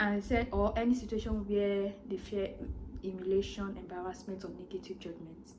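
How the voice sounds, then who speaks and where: The recording has audible room echo and noticeable background noise. A woman talks at a medium pitch. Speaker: vlogger. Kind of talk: personal vlog monologue. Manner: fast.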